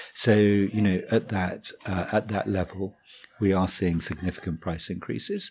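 Speaking at a moderate pace, a man with a plain, everyday voice keeps a fairly low pitch and fairly even intonation. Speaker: wine merchant buying director. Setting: office interview.

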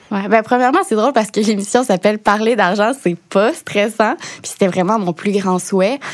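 Barely pausing, a woman speaks at a fairly high pitch with ordinary pitch variation. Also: moderate pace. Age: 20s. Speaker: TV show host and financial educator. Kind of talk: interview.

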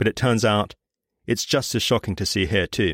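A man with a British accent and fairly low pitch talks at a fairly quick pace. The recording is very clean, with a silent background and a dry, close sound with no echo. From Britain. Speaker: podcast host. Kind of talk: scripted narration.

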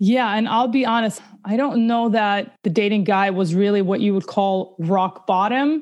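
A woman with an unremarkable speaking voice talks at a very even loudness, her pitch varying in an ordinary way. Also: medium pitch for a woman, moderate pace, hardly any pauses. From Russia, immigrated to US at nine. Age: 30s. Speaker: abuse survivor sharing her story. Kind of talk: interview testimony.

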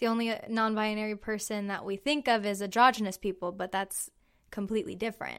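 Fairly quick in pace, a woman with an American accent uses a plain, everyday voice, fairly high in pitch with fairly even intonation, on a very clean recording with a silent background. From Central California. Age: 20s. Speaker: LGBT youth program participant. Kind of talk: interview.

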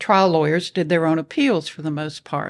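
With an American accent, a woman talks at a very deep, low pitch with fairly even intonation, on a very clean recording with a silent background. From US South, Nashville, Tennessee. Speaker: retired appellate lawyer. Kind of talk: interview conversation.

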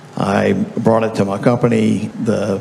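A man with a Southern US accent speaks over noticeable background noise. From Louisiana. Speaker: software company founder. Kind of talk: panel discussion. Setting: stage with audience.

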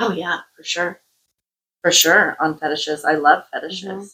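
Her tone bright and sharp, a woman speaks at a fairly slow pace with fairly even intonation. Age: 40s. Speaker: intimacy coach and podcast co-host. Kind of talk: casual chat.

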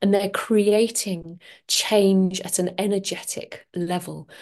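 Against a quiet background, a woman in a London accent speaks at a very slow pace with a dark, mellow tone and medium pitch. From London, England. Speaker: podcast host and transformational coach. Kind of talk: solo podcast monologue.

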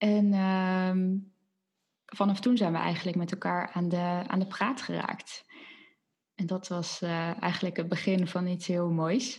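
On a very clean recording with a silent background, a woman speaks very slowly at a medium pitch. Her voice is somewhat breathy, her intonation fairly even. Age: 20s. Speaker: podcast co-host, former occupational therapist recovering from burnout. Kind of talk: casual chat. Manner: hesitant, many filler words.

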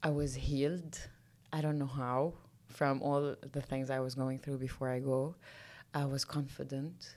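A woman with a Lebanese accent speaks at a fairly slow pace. Her pitch is very deep and low, and her intonation is monotone and flat. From Lebanon. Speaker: mountaineer and entrepreneur. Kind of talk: interview.

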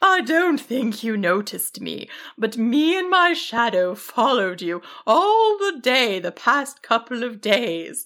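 A woman speaks slowly in a put-on character voice, fairly high for a woman and fairly bright in tone, with big swings in pitch.

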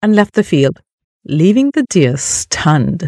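A somewhat breathy woman with an animated tone at a fairly slow pace, in dry, close sound with no echo. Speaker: storyteller and podcast host. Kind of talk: children's fable narration, with voiced characters. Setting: podcast recording. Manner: animated storyteller, expressive, shifts tone for each character.

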